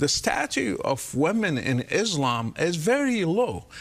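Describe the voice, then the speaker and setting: A high-pitched man with an Arabic accent. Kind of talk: interview.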